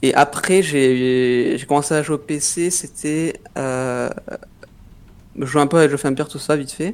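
A man speaks very slowly in a fairly high voice. His intonation stays fairly even, broken by long, frequent pauses. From southwest France (Pau). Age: 20s. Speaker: professional esports player. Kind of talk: interview. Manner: halting.

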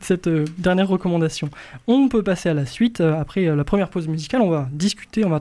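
At a very fast pace, a man with a high pitch and a dark, mellow tone speaks with ordinary pitch variation. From rural France. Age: 20s. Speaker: radio host. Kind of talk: casual chat.

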